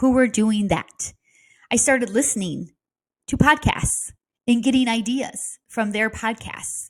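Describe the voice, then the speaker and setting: A woman talks at a fairly slow pace in a fairly high pitch. Her voice is somewhat breathy, with ordinary pitch variation. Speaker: real estate coach. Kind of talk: casual talk to camera. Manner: conversational, with fillers.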